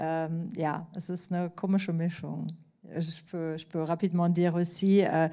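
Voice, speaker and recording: A woman speaks at a fairly low pitch with a German accent. The recording is very clean, with a silent background. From Germany. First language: German (speaking French). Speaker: TV editor-in-chief. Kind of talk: masterclass Q&A. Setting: stage with live audience. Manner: hesitant, many fillers.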